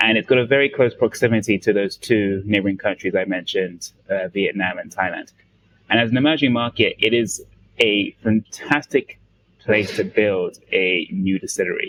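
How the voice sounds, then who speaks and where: The speaker talks at a moderate pace with a London accent. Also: man. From London, England. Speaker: distiller. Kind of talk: interview.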